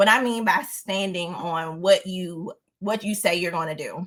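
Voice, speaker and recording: A woman's animated voice with a Southern US accent, at a fairly slow pace. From US South. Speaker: lifestyle vlogger. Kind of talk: casual storytelling monologue. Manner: stutters at times.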